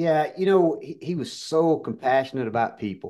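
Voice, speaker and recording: Over a quiet background, a man with a Southern US accent speaks at a fairly slow pace with lively intonation. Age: 50s. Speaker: pharmacy business owner and keynote speaker. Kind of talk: interview.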